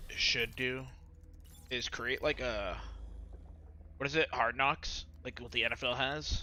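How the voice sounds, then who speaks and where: A man speaks at a fairly slow pace. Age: 30s. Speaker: esports watch party streamer. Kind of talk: casual live stream commentary.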